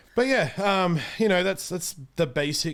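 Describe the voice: A man's fairly high pitch with a fairly bright tone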